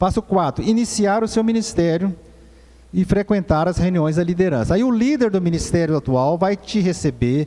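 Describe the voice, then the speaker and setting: A dark, mellow tone carries lively intonation at a very even loudness. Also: man, high pitch for a man, moderate pace. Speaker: presbyter teaching a church course. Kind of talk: church course lecture.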